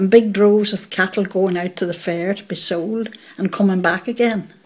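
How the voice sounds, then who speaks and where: The speaker has a Northern Irish accent and fairly even intonation at a moderate pace. Noticeable background noise can be heard. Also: woman. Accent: Northern Irish (Fermanagh). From Northern Ireland, County Fermanagh (Belcoo area). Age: 80s+. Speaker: local resident recalling childhood. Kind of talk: oral history interview.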